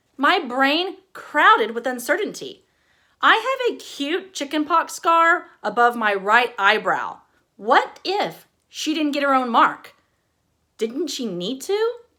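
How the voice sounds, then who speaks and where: Projecting a raised voice at a very slow pace, a woman speaks with a bright, sharp tone, high pitch, very wide pitch swings and an American accent on a very clean recording with a silent background. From East Texas. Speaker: author. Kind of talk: casual introduction; reading aloud.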